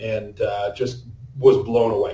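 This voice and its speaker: A man talks with a Canadian accent in a monotone, flat delivery. Noticeable background noise is present. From Canada. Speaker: AI consultant. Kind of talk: podcast interview. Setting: remote call.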